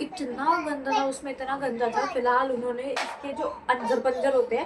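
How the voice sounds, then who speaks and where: Against noticeable background noise, a woman with a high voice speaks at a fairly slow pace with ordinary pitch variation. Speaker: vlogger. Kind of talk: casual vlog talk to camera.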